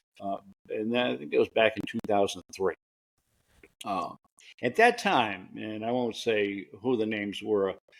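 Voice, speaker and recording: A man is talking. The recording is very clean, with a silent background. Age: 60s. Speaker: podcast host. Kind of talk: interview conversation.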